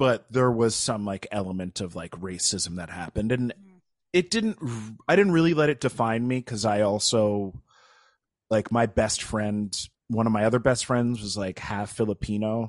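A man with an American accent and an ordinary speaking voice, medium pitch with ordinary variation, moderate pace, dry and close with no echo against a quiet background. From upstate New York. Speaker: actor and improv comedian. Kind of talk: casual interview chat.

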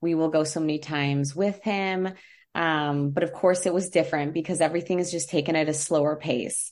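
A woman with an ordinary speaking voice, fairly low pitch, fairly even intonation and a fairly quick pace, over a quiet background. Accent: American. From United States. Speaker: travel agent. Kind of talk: casual chat.

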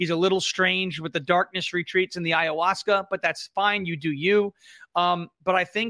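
With a New York accent, a man speaks in a raised, projected voice with a bright, sharp tone at a fairly quick pace, the sound dry and close with no echo in a very clean recording with a silent background. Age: 30s. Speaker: political commentator and comedian. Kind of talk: casual chat.

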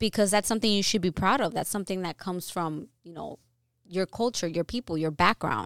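A woman with an American accent and an ordinary speaking voice, medium pitch, ordinary pitch variation and big swings in loudness, at a fairly quick pace, on a very clean, dry, close recording with no echo and a silent background. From New York. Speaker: podcast host. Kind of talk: casual chat.

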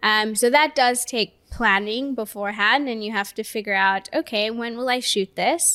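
A woman speaks at a moderate pace in a fairly high, bright, sharp voice with ordinary pitch variation and hardly any pauses. The recording is very clean, with a silent background. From Kenya. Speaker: content creator and marketing manager. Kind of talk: casual interview chat. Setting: studio video podcast.

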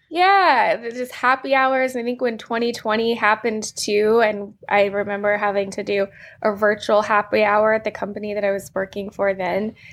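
Here is an ordinary speaking voice from a woman with a fairly high pitch and fairly even intonation. She talks at a moderate pace on a very clean recording with a silent background. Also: hardly any pauses. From Virginia, US. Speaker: attorney, author, card game co-founder. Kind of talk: interview chat.

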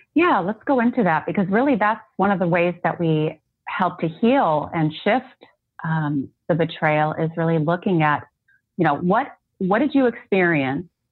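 A woman's unremarkable speaking voice, with lively intonation, a moderate pace and very even loudness. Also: fairly low pitch for a woman. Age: 40s. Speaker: life coach and occupational therapist. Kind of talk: interview.

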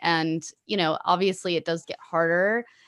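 In a Californian accent, a woman speaks at a fairly low pitch and a moderate pace. Her pitch varies in an ordinary way, and the background is quiet. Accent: Californian American English. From Los Angeles, California. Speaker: musician and podcaster. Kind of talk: interview conversation.

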